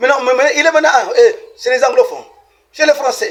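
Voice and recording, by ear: At a fast pace, a man speaks with an extremely high pitch, ordinary pitch variation and a fairly bright tone.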